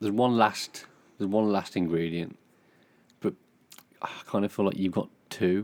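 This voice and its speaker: A man's fairly low voice at a moderate pace, with fairly even intonation and long, frequent pauses. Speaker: podcast co-host. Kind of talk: casual chat between a couple.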